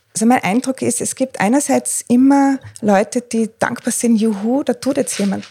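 The voice has a dark, mellow tone. It belongs to a woman and sounds somewhat breathy. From Austria, Tyrol. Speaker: freelance journalist and coach. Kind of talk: interview. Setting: living room at home. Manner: hesitant, many fillers.

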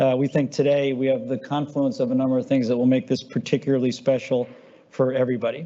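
A man talks very fast in a flat monotone at medium pitch, his loudness very even throughout. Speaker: company CEO hosting client event. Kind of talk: moderated panel discussion. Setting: live event with audience.

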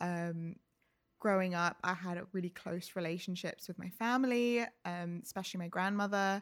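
With a London accent, a woman talks at a moderate pace in a medium pitch and fairly even intonation, recorded very cleanly against a silent background. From England, London (Ealing). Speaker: artist and gallery director. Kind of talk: casual interview chat.

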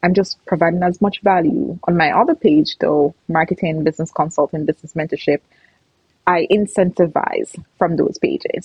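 A somewhat breathy woman at a moderate pace with lively intonation. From Jamaica. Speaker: entrepreneur and business mentor. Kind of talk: interview.

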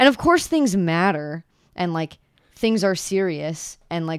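In an unremarkable speaking voice, a woman talks at a moderate pace with fairly low pitch and ordinary pitch variation. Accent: American. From Pennsylvania. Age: 20s. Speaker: guest, coworker and friend. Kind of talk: casual chat.

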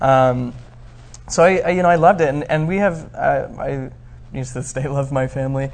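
A somewhat breathy voice moves at a moderate pace with ordinary pitch variation. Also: man, fairly high pitch for a man. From Arizona, US. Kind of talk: interview. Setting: studio.

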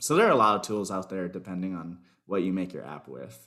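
The recording is very clean, with a silent background. A man with an American accent speaks at a very deep, low pitch. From US South, Miami, Florida. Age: 20s. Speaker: software developer. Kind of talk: interview.

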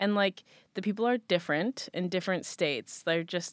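On a very clean recording with a silent background and a dry, close sound with no echo, a woman with an unremarkable speaking voice talks at a medium pitch with lively intonation. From US, moved around (California, Midwest, Massachusetts). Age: 20s. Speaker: content creator and photographer. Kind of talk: casual interview chat.

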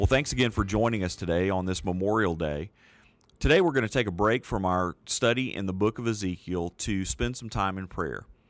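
Fairly quick pace and ordinary pitch variation in a plain, everyday voice, captured on a very clean recording with a silent background. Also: man, fairly low pitch for a man. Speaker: podcast host. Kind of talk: episode introduction.

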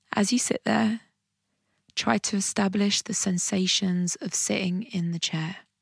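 A somewhat breathy voice with a warm, calm tone and ordinary pitch variation moves at a fairly slow pace in a very clean recording with a silent background and a dry, close sound with no echo. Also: woman, medium pitch for a woman. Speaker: meditation guide and podcast host. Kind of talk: guided meditation. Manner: slow, calm and soothing, with gentle pauses between instructions; warm and encouraging.

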